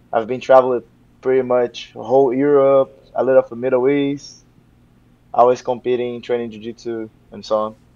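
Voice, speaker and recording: Speaking with a Portuguese accent at a moderate pace, a man keeps a dark, mellow tone and flat, monotone intonation while his loudness swings widely. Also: medium pitch for a man. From Brazil, Rio de Janeiro. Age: 20s. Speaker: jiu-jitsu professor. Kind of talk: interview.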